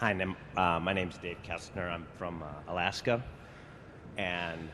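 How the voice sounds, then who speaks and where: Speaking at a fairly slow pace, a man with a very deep, low voice is heard against audible room echo. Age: 60s. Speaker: audience member asking a question. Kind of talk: audience Q&A comment. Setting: convention hall presentation with audience. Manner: halting, with fillers and repeats.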